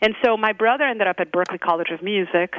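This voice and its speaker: A woman with a Brazilian accent talks at a very fast pace with fairly even intonation. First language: Brazilian Portuguese. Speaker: jazz singer. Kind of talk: interview.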